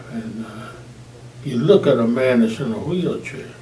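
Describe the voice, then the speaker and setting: A man in a Southern US accent talks at a fairly slow pace with ordinary pitch variation over noticeable background noise. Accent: Southern American. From Arkansas. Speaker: Air Force veteran, firefighter; preacher. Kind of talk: interview answer.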